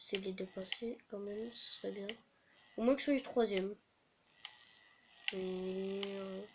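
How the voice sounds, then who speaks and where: Soft-spoken and high-pitched, the man talks at a very slow pace with long, frequent pauses, big swings in loudness and fairly even intonation. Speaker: gaming youtuber. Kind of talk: gameplay commentary.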